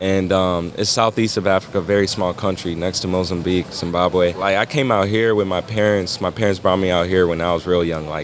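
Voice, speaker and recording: Over noticeable background noise, a man with a very deep, low voice and an American accent talks at a fairly quick pace with hardly any pauses. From US Midwest, South Bend, Indiana. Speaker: graphic designer and artist. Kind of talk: casual interview chat. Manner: animated, slangy.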